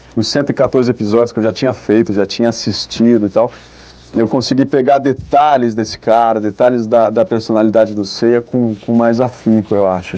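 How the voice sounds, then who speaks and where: A man talks at a fairly quick pace and a medium pitch. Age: 20s. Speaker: voice actor. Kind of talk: interview. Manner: halting.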